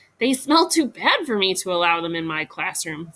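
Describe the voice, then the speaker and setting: A female-sounding voice at a medium pitch for a woman puts on a character voice at a moderate pace. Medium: read story. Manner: calm, prim.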